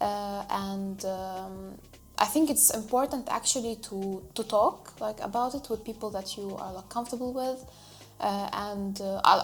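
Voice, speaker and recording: Medium-pitched speech from a woman with an Arabic accent, at a moderate pace with fairly even intonation, amid noticeable background noise. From Lebanon. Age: 20s. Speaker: refugee interviewee. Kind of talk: interview. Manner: halting, many fillers.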